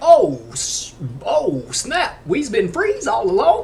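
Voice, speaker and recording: In a put-on character voice, someone speaks very slowly at a high pitch over clear background noise. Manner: exaggerated, comedic, put-on.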